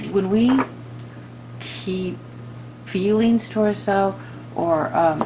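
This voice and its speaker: Noticeable background noise accompanies a woman who talks at a fairly slow pace. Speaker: tarot reader. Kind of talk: tarot reading monologue. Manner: halting, many fillers and restarts.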